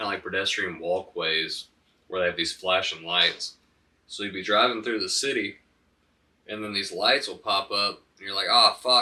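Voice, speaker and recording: A man with a Southern US accent at a moderate pace, his loudness swinging widely. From US South, Alabama (Huntsville). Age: 20s. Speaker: podcast guest, dispensary worker. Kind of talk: casual chat. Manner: frequent filler 'um'.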